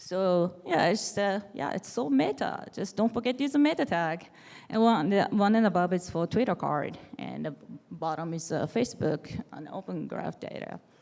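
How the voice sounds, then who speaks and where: Vocal fry runs through this speech in a Japanese accent. The pace is moderate and the intonation lively. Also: woman, fairly low pitch for a woman. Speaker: developer advocate. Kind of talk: conference talk. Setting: stage with audience.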